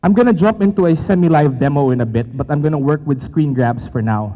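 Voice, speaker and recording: A man with a Filipino accent speaks in a dark, mellow tone with lively intonation. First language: Tagalog. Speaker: tech company presenter. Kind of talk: conference presentation. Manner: fast.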